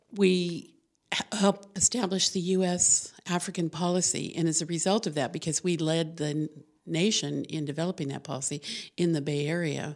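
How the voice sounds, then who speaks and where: This is an ordinary speaking voice with an American accent. Its intonation is fairly even and its pace moderate. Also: woman, fairly low pitch for a woman. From New Mexico, US. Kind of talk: casual interview. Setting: studio.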